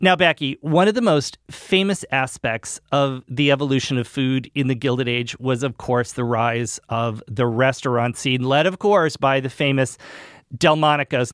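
In a plain, everyday voice, a man speaks at a medium pitch and moderate pace with ordinary pitch variation, the sound dry and close with no echo. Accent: American. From New England, US. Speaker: podcast host. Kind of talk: interview; scripted narration.

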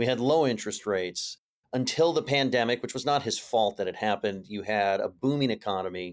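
In an unremarkable speaking voice, a man talks at a moderate pace with an American accent and ordinary pitch variation, on a very clean recording with a silent background. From California, US. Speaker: political journalist and podcast host. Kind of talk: interview.

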